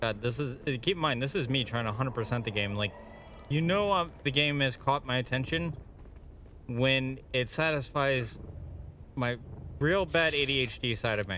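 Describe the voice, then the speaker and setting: A man with a Boston accent speaks at a moderate pace and medium pitch, with ordinary pitch variation. He leaves long, frequent pauses. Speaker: gaming streamer. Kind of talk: live gameplay stream chat. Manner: animated.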